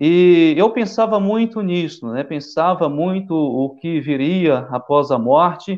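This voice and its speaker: The speaker talks at a very slow pace with lively intonation and hardly any pauses. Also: man, high pitch for a man. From western Bahia, Brazil. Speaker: missionary pastor. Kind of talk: testimony.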